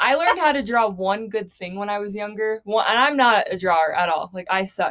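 A woman with an American accent and a plain, everyday voice talks at a fairly quick pace and medium pitch with lively intonation. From Arizona. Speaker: podcast co-host. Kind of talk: casual chat.

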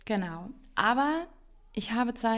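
The recording of this woman is very clean, with nothing heard in the background. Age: 30s. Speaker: podcast host. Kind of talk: solo podcast monologue.

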